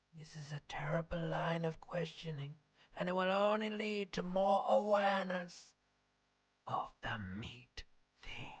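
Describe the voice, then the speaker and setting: A female-sounding, put-on character voice sits at a medium pitch for a woman. It moves at a moderate pace with long, frequent pauses. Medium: video game. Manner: mocking, blunt.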